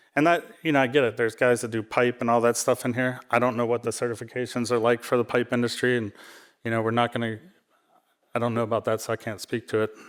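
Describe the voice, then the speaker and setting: In a very clean recording with a silent background, a man rattles along at a very fast pace in a medium-pitched, monotone, flat voice. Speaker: e-waste industry panelist. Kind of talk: panel talk. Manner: nervous-sounding voice.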